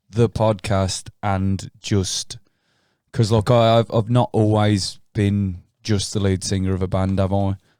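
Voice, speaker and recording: Speaking in a flat monotone, the man has a dark, mellow tone. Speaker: podcast co-host, band singer and drummer. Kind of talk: casual chat. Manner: halting, pauses to reword.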